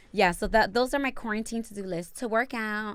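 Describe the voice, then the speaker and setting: At a moderate pace, a woman speaks in a fairly high pitch with ordinary pitch variation, an unremarkable speaking voice in a very clean recording with a silent background. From Dominican heritage, US. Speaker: podcast host. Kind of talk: casual chat.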